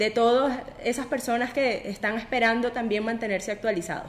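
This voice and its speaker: This woman speaks in a high pitch at a moderate pace. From Venezuela. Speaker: podcast host. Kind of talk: interview.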